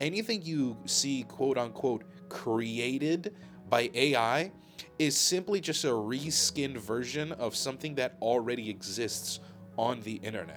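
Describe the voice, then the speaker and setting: A man with a medium pitch and lively intonation talks at a fairly slow pace while music plays in the background. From Balkans. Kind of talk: unscripted rant to camera.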